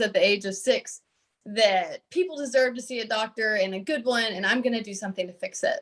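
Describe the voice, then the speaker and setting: Speaking at a moderate pace, a woman with a Texas accent has a fairly high pitch. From Southeast Texas, rural. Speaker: pediatric oncology fellow, physician. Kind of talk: panel self-introduction.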